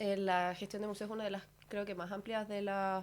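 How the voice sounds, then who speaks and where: The speaker has a Chilean accent. The intonation is monotone and flat. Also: woman. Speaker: master's student. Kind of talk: radio interview.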